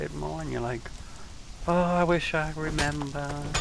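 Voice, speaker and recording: Audible room echo and noticeable background noise fill the recording. A man speaks with a British accent. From England. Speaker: game streamer. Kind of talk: casual gaming livestream commentary.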